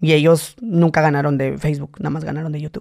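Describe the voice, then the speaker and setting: A man's fairly high voice with a dark, mellow tone, very fast pace and fairly even intonation, against a quiet background. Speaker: comedian and content creator; comedian, content creator. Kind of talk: casual chat. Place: studio. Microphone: studio mic.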